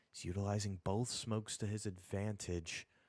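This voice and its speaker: The man's voice is strained and very deep, delivered in a flat monotone with a dry, close sound and no echo. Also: very clean recording, silent background. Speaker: esports caster. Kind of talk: live commentary. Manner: restrained volume.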